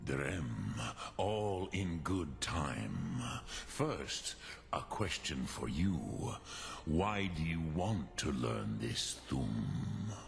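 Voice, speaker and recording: With clear background noise behind him, a man in a put-on character voice talks very slowly at a very deep, low pitch. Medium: video game. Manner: slow, measured, solemn.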